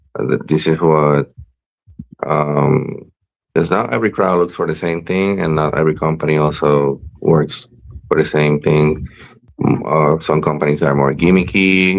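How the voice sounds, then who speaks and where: In a Spanish accent, a man with a very deep, low pitch speaks at a moderate pace with ordinary pitch variation and long, frequent pauses. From Puerto Rico. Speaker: professional wrestler. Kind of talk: interview. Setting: live-streamed video show. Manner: halting, many fillers and repeats.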